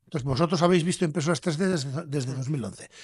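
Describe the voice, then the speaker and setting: A man has a plain, everyday voice at a fairly high pitch. His intonation is lively, and the background is quiet. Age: 60s. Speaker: entrepreneur, company founder. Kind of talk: podcast interview.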